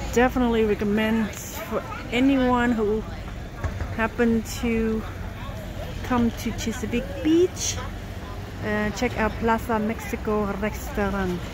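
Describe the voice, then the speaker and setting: A woman speaks at a very slow pace with fairly even intonation and long, frequent pauses. The sound is dry with no echo, and crowd noise fills the background. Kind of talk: casual vlog narration. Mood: relaxed, pleased. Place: street. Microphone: phone near.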